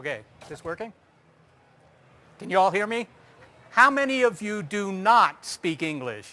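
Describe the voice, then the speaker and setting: A raised, projected voice with a bright, sharp tone, lively intonation, big swings in loudness, a moderate pace and long, frequent pauses. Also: man, high pitch for a man. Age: 50s. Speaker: astronomer giving a public talk. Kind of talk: public lecture.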